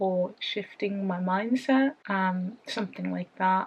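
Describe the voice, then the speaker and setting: Over noticeable background noise, a woman with a British accent talks at a fairly slow pace in a medium pitch with fairly even intonation. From United Kingdom. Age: 20s. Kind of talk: casual talk to camera.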